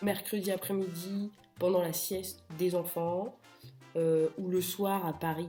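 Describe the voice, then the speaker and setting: A woman's medium-pitched voice at a very slow pace, with music in the background. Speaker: real estate agent. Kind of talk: casual talk to camera. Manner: humorous.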